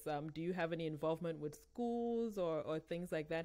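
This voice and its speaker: The woman's voice is fairly low in pitch and has lively intonation. The background is quiet. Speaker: podcast host. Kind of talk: casual interview. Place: home room.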